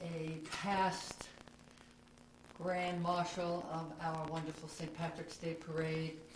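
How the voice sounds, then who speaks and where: Amid noticeable background noise, a woman speaks very slowly in a monotone, flat way. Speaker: oral history interviewer. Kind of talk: interview questions.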